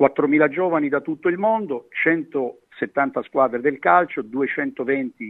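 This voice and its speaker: A man is speaking. His pitch is fairly high. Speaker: sports association president. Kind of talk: interview.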